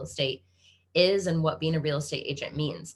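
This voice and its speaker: Her voice is fairly low in pitch, with a bright, sharp tone and a Kansas accent. The woman keeps a moderate pace. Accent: American (Kansas), noticeable. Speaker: webinar host, real estate agent. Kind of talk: webinar presentation. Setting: video call.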